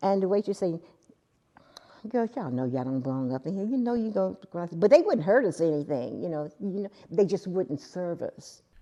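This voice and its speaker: A woman talks at a fairly quick pace in an American accent, her pitch medium. Her pitch swings very widely and her loudness rises and falls sharply. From US South, Houston, Texas. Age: 70s. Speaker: documentary interviewee, grandmother. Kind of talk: interview testimony.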